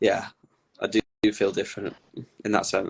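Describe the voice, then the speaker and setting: Recorded dry and close with no echo over a quiet background, a man with a Lancashire accent speaks at a moderate pace. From northern England, Blackpool. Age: 20s. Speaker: content creator on his personality disorder. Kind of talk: interview.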